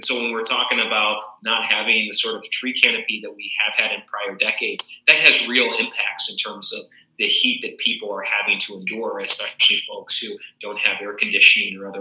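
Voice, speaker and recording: Noticeable background noise sits behind the speech. The speaker has an American accent and keeps a moderate pace. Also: man. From Arizona (Tucson). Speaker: city council member. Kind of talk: interview.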